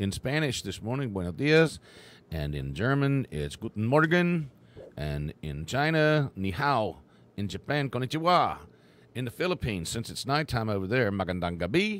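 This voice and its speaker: Someone with an Appalachian accent speaks at a moderate pace. The pitch swings very widely. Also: man, medium pitch for a man. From West Virginia. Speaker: radio host. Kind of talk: live radio show chat.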